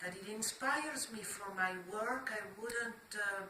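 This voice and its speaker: A woman of medium pitch at a fairly slow pace, amid noticeable background noise. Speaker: artist. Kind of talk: interview answer.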